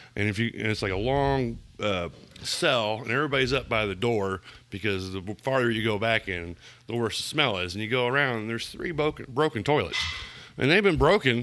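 A man at medium pitch with an American accent, a plain, everyday voice, and ordinary pitch variation. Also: fairly quick pace. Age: 40s. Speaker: business owner. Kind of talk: casual chat.

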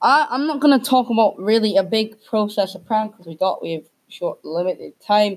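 A woman's fairly high voice, fairly quick and lively, with big swings in loudness. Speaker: podcast host. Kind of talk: casual chat. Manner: halting, filler-heavy.

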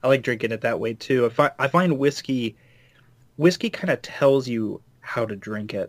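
A man speaks at a medium pitch in an unremarkable speaking voice, with ordinary pitch variation and a moderate pace. The sound is dry and close with no echo, on a very clean recording with a silent background. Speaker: cocktail maker. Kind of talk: casual chat.

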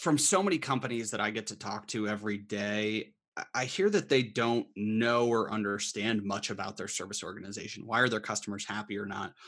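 This man talks at a fairly quick pace in a fairly low pitch. His tone is bright and sharp. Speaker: HubSpot channel account manager. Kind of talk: casual interview chat.

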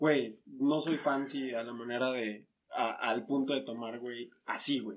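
A man speaking at a very slow pace, his intonation fairly even. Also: medium pitch for a man. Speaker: podcast host. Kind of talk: casual chat. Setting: in person, same room.

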